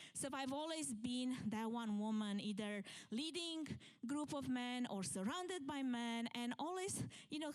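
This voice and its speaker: A woman with a Romanian accent talks in a high pitch with lively intonation. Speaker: event planner and keynote speaker. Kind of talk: conference talk. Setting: stage with live audience.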